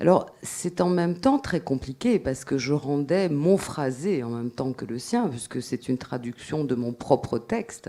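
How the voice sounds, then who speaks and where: Speaking very slowly with a Corsican accent, a woman uses a dark, mellow tone and lively intonation. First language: Corsican (speaking French). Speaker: writer. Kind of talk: panel discussion. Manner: halting.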